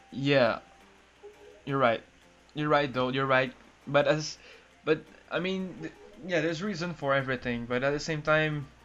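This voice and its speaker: A man's fairly high voice at a moderate pace, with long, frequent pauses and music in the background. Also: ordinary pitch variation. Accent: non-native. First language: not English. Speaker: gaming youtuber. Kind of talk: casual chat. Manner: halting.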